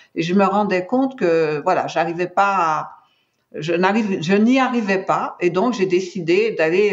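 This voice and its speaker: This woman's voice sits at a medium pitch, moving at a moderate pace with ordinary pitch variation. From Martinique. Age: 60s. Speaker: cancer survivor. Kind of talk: testimony. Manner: hesitant, many fillers.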